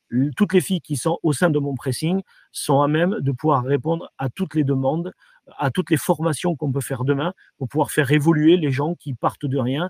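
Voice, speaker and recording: In a dry, close sound with no echo, a man speaks with a fairly high pitch and a somewhat breathy voice. His pace is moderate and his intonation fairly even. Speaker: franchise company director. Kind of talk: interview. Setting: virtual trade fair interview. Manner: halting, many repetitions and fillers.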